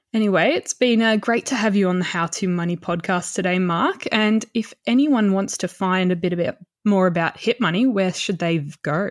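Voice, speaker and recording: With an Australian accent, a woman speaks at a medium pitch with ordinary pitch variation and very even loudness. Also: moderate pace. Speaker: podcast host. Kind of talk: interview; scripted intro.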